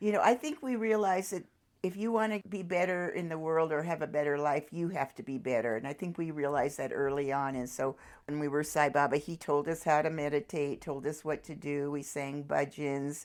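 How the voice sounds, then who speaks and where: A woman's very deep, low voice at a fairly quick pace, with ordinary pitch variation, on a very clean recording with a silent background. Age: 70s. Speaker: world traveler. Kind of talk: interview answer.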